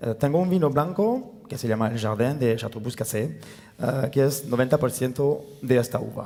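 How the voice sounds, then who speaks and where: Against noticeable background noise, a man with a French accent talks at a moderate pace and medium pitch, with ordinary pitch variation. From France, near Tarbes. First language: French (speaking Spanish). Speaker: winemaker. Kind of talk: panel talk. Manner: halting, many fillers.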